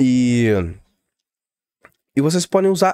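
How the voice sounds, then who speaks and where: Very wide pitch swings, a quiet background and dry sound with no echo. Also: man. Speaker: tech tutorial youtuber; security explainer or streamer. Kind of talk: tutorial. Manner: fast; casual, hesitant fillers.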